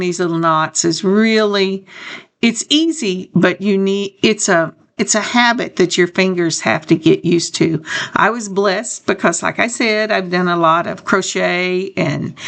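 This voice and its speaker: A woman talks with an unremarkable speaking voice. Her pace is fairly slow and her pitch variation ordinary. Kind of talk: tutorial. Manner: casual.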